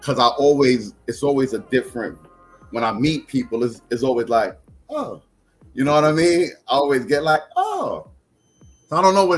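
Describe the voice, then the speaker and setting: A man speaks at a moderate pace with an American accent while music plays in the background. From South Bronx, New York City. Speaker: poet. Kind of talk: casual interview chat.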